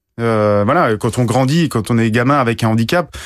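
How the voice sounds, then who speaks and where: The man talks at a fairly quick pace. His pitch is medium with ordinary variation. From Guadeloupe. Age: 40s. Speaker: professional sailor. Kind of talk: radio interview. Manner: halting, frequent hesitations.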